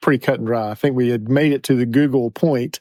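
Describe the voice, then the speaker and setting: The recording is very clean, with a silent background and a dry, close sound with no echo. A man speaks at a fairly quick pace in a dark, mellow tone. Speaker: pharmacist and podcast co-host. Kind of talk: casual chat.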